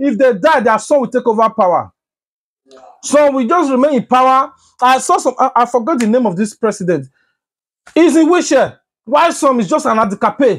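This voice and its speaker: Extremely high in pitch for a man, his voice carries lively intonation at a fairly quick pace. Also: very clean recording, silent background. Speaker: news commentary vlogger. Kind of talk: opinion commentary. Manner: loud, animated.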